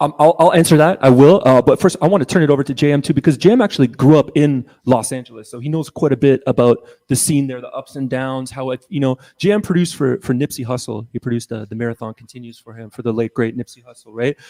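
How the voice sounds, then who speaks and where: Recorded with a dry, close sound and no echo, a man with a Canadian accent rushes along at a very fast pace with hardly any pauses, using a medium pitch, ordinary pitch variation, and big swings in loudness. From Mississauga, Ontario, Canada. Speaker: musician. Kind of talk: casual panel chat.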